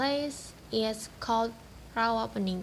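Somewhat breathy, a woman speaks with a fairly high pitch and ordinary pitch variation. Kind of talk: folktale narration. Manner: storytelling cadence, measured and even.

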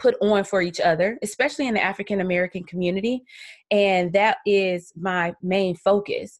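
In a South Carolina accent, a woman talks at a moderate pace with ordinary pitch variation. The background is quiet. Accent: Southern US (South Carolina). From US South, Columbia, South Carolina. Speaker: podcast host. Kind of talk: solo podcast monologue.

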